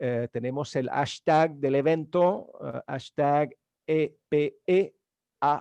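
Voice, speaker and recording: Speaking very slowly with a French accent, a man uses a fairly high pitch, ordinary pitch variation and a dark, mellow tone, in a dry, close sound with no echo. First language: French (speaking Spanish). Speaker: event moderator. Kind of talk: event hosting, introductions. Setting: video conference webinar. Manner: halting, many fillers.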